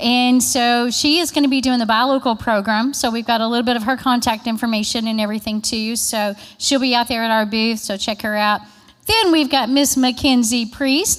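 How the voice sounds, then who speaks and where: A woman talks loudly in an animated tone at a fairly quick pace. Her pitch is high. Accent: Kentucky. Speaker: state agriculture marketing presenter. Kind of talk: conference presentation. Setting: conference room with audience.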